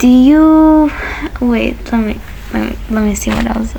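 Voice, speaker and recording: Noticeable background noise runs through the clip. A woman talks fairly slowly. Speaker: youtuber. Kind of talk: casual vlog talk. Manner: rambling, halting with false starts.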